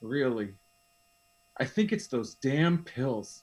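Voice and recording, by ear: Using a put-on character voice, a man speaks slowly at medium pitch with big pitch swings, a slightly mellow tone and a slightly husky edge.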